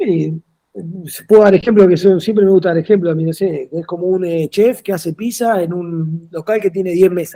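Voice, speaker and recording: A high-pitched man's voice with an Argentine accent, a dark, mellow tone, fairly even intonation and big swings in loudness. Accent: Rioplatense Argentine Spanish. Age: 40s. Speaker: football coach. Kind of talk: interview. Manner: fast.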